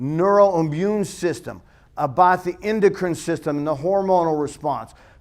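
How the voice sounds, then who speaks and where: In a very clean recording with a silent background, a man with a high pitch sounds animated, speaking at a moderate pace with ordinary pitch variation. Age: 50s. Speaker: strength and conditioning coach. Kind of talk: conference talk.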